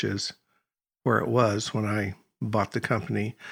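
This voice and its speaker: A man's voice with vocal fry, on a very clean recording with a silent background. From Oregon, US Pacific Northwest. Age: 70s. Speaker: bonsai tool company owner. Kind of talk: casual interview.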